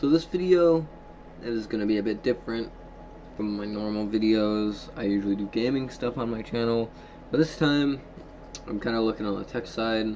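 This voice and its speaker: Against noticeable background noise, a man speaks at a moderate pace and medium pitch, with ordinary pitch variation and long, frequent pauses. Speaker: gaming and tech YouTuber. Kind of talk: casual tech show-and-tell. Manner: halting, many fillers; voice cracks.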